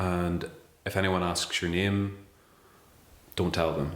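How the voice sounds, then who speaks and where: A man with a Northern Irish accent, very deep and low in pitch, monotone and flat, with audible room echo. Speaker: interviewee. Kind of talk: interview testimony.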